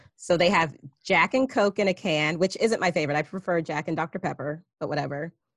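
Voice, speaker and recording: A woman's normal speaking voice at a fairly low pitch, with ordinary pitch variation, in a dry, close sound with no echo. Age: 30s. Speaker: podcast host. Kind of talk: casual chat. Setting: video call.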